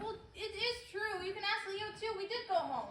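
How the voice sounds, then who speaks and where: A woman uses a squeaky put-on character voice at an extremely high pitch, with fairly even intonation. She keeps a moderate pace, with a slight echo. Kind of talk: high school stage acting. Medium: stage play.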